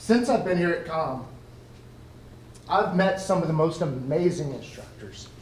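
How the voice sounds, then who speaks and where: In an American accent, a man with a high voice speaks loudly and fairly slowly, with ordinary pitch variation and audible room echo. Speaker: Air Force veteran and college student. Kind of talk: ceremony speech.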